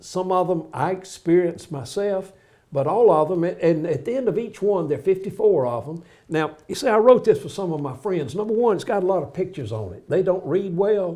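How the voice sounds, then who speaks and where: A man with a Southern US accent speaks at a moderate pace and a high pitch. His tone is dark and mellow, with lively intonation. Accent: US South. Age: 80s+. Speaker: pastor and author. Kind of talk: casual interview.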